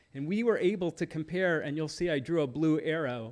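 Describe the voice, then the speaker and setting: A man's ordinary speaking voice, fairly high in pitch with ordinary pitch variation, on a very clean recording with a silent background. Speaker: citizen commenter on local history. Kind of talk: public comment at council meeting.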